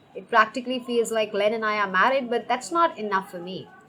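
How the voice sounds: Ordinary pitch variation runs through this natural reading voice.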